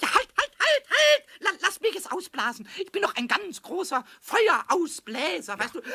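A man's put-on character voice at an extremely high pitch, moderately paced, with very wide pitch swings. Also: hardly any pauses. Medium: audio drama. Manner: excited, cheeky, stuttering.

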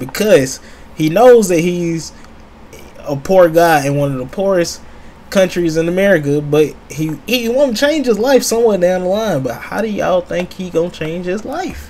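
A man's voice at a moderate pace, over light background noise. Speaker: streamer reacting to a video. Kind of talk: casual reaction commentary.

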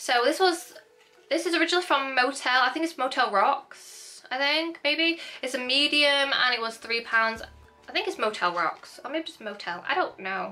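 Over faint background music, a woman with a Northern English accent projects a raised, high-pitched voice at a moderate pace with lively intonation. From northern England, Hull, East Yorkshire; northern England. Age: 20s. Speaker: YouTuber. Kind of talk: haul video, casual chat; casual vlog chat. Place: home room.

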